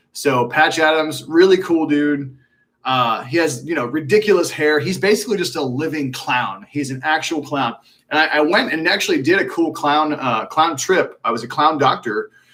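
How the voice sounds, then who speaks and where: With a slight Texan accent, a man talks at a moderate pace in a fairly high pitch, his tone bright and sharp and his pitch variation ordinary. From Texas (Magnolia). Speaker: alternative medicine practitioner. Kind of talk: live Q&A stream. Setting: live stream. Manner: casual, animated.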